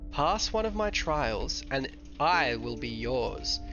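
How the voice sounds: A man's raspy, put-on character voice at a fairly slow pace, with clear music in the background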